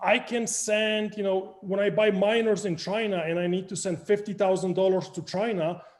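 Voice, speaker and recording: A man with a Polish accent speaks at a high pitch. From Poland. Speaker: crypto project founder. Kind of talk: interview.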